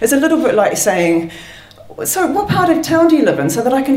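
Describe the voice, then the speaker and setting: The woman's pitch swings very widely. Noticeable background noise runs under her voice. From London, England. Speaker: storyteller. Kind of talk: live storytelling. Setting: stage with audience.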